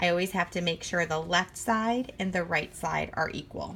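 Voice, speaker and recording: A woman speaks at a moderate pace in a fairly low pitch. Her voice has vocal fry and ordinary pitch variation. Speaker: math teacher. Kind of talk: tutorial.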